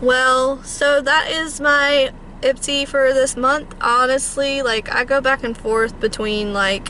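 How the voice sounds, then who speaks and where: Against noticeable background noise, a woman uses a raised, projected voice with a high pitch, fairly even intonation and a very slow pace. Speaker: beauty vlogger. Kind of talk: casual vlog monologue. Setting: in a car.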